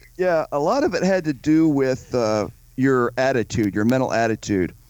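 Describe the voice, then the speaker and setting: A man talks at a moderate pace with a medium pitch. He has an ordinary speaking voice. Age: 50s. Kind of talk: interview.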